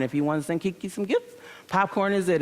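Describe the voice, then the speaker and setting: Talking at a very fast pace, a woman with an American accent has an animated tone and ordinary pitch variation. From Michigan, US Midwest. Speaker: entrepreneur and conference speaker. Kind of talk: conference talk. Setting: stage with audience.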